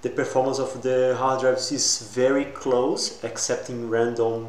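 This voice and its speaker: Speaking fairly slowly at a medium pitch, a man keeps a monotone, flat intonation amid noticeable background noise and audible room echo. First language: not English. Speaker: tech YouTuber. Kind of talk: tutorial. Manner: halting.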